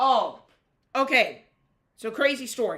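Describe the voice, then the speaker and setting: There is a bright, sharp tone to this woman's voice, captured in a very clean recording with a silent background. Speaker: ham radio operator livestreamer. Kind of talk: live stream with radio calls. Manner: casual, rambling with fillers. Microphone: built-in laptop microphone.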